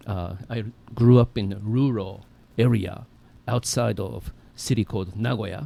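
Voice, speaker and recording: A man's dark, mellow voice at a fairly low pitch in a Japanese accent, fairly slow and fairly even in intonation, with long, frequent pauses. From Japan and Brazil. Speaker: guest sharing faith story. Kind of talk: personal testimony.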